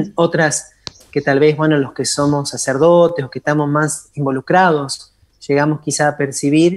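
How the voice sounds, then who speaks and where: A man speaks at a moderate pace with fairly even intonation and a fairly high pitch. He has a plain, everyday voice. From Argentina, Entre Ríos. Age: 40s. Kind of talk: interview.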